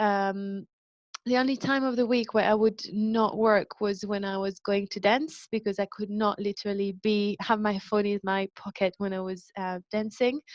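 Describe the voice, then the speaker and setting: Speech in a French accent at a moderate pace, with fairly even intonation, a dry, close sound with no echo and a quiet background. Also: woman. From France. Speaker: wellbeing company founder, speaker. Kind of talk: public talk. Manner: hesitant, frequent um fillers.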